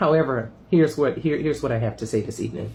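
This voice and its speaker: A man speaks with ordinary pitch variation and a somewhat breathy voice. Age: 60s. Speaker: spiritual vlogger. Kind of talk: casual monologue video. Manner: halting, many fillers.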